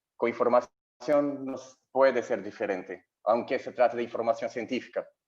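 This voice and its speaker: In a Portuguese accent, a man talks at a medium pitch. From Brazil. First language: Portuguese (speaking Spanish). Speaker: health journalist. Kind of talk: conference talk. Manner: slow; halting.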